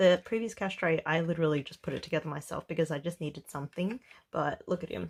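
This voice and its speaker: Here a woman speaks with an Australian accent. Her pace is fairly quick. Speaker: budgeting vlogger. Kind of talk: casual vlog commentary. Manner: mellow, relaxed.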